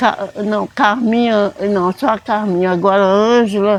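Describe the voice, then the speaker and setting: A woman at a medium pitch, very slow pace, ordinary pitch variation. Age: 70s. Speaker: church elder. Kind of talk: interview testimony. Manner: halting.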